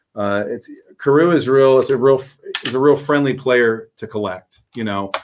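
With a plain, everyday voice, a man speaks at a moderate pace in a medium pitch with lively intonation. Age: 40s. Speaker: baseball card collector and YouTuber. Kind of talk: casual chat.

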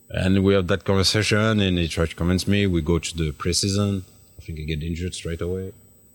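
Through a very clean recording with a silent background, a man with a French accent and a very deep, low pitch speaks at a very fast pace with fairly even intonation. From France, Paris. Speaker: retired footballer. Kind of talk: interview. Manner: halting.

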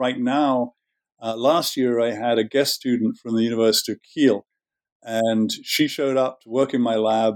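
Speaking at a moderate pace with a southern English accent, a man keeps a fairly even intonation but swings widely in loudness, recorded with a dry, close sound and no echo. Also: medium pitch for a man. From southern England. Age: 60s. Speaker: marine scientist and veterinarian. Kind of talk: interview. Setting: remote interview from home.

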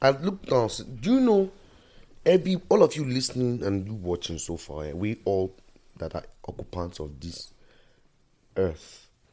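Over music in the background, a man at a medium pitch talks at a moderate pace with long, frequent pauses, very wide pitch swings and big swings in loudness. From Nigeria. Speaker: musician. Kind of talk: casual chat.

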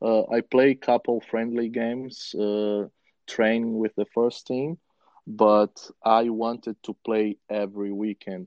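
Speaking with a Brazilian accent, a man talks at a very slow pace in a medium pitch with monotone, flat intonation. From Brazil, Rio de Janeiro. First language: Portuguese. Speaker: former professional footballer. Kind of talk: interview.

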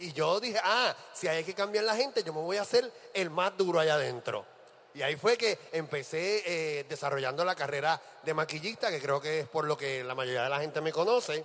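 A man's fairly high voice, animated in tone, with lively intonation at a moderate pace. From Puerto Rico, Ponce. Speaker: drag performer and emcee. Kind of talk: stage hosting. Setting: stage with live audience.

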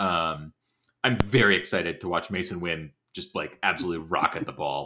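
In a bright, sharp tone, a man speaks at a moderate pace with a very deep, low pitch and ordinary pitch variation. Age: 30s. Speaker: baseball writer. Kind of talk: casual chat.

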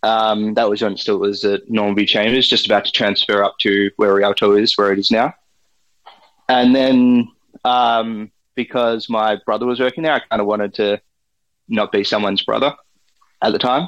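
A man with an Australian accent at a medium pitch, moderate pace, very even loudness and fairly even intonation, with long, frequent pauses. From Australia, outer Melbourne. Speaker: forager and restaurant supplier. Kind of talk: interview. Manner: hesitant, many fillers.

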